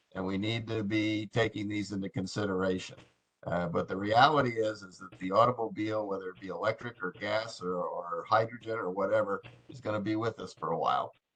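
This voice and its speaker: A man talks at a fairly quick pace in an ordinary speaking voice, his pitch fairly low. His intonation is fairly even, though his loudness swings widely. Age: 60s. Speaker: committee member. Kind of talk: meeting discussion.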